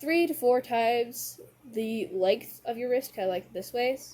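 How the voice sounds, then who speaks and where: A woman speaks in a dark, mellow tone. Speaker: craft tutorial YouTuber. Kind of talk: tutorial. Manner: halting, trips over words; casual, rambling filler words.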